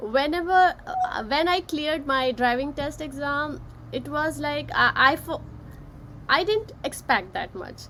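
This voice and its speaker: With a raised, projected voice, a woman speaks at a high pitch in a bright, sharp tone. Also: ordinary pitch variation, fairly slow pace. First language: not English. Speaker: author and session host. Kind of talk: live-streamed casual discussion. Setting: Facebook live session.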